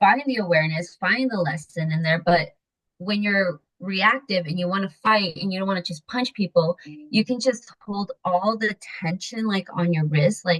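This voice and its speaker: A woman with an American accent speaks in a plain, everyday voice at medium pitch, with ordinary pitch variation and a moderate pace. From Mexico City, raised in the US from age 6-7. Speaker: women empowerment coach. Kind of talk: podcast interview. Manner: casual, filler-heavy speech.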